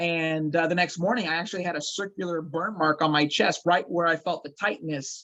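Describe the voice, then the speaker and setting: A man speaks loudly at a high pitch and a fairly quick pace. His intonation is fairly even, with hardly any pauses. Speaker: actor and paranormal investigator. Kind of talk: interview storytelling.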